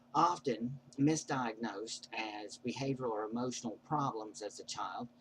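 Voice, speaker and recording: This man's voice sits at medium pitch. It is somewhat breathy. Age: 40s. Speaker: vlogger. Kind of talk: personal monologue. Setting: webcam recording. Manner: odd prosody.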